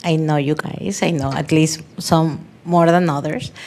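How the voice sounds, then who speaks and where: A woman speaks with a fairly low pitch. Her pace is fairly slow. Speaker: audience member asking questions. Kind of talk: audience question. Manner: loud.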